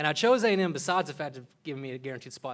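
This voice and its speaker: A man in a Texan accent, fairly high in pitch, at a very fast pace. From Texas panhandle, Borger. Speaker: medical student. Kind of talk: public speech.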